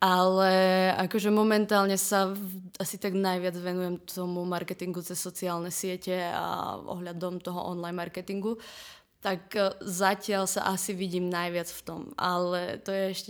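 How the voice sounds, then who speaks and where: A woman's monotone, flat delivery at a moderate pace, in a very clean recording with a silent background. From eastern Slovakia, Prešov. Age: 20s. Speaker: marketing student. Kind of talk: casual interview.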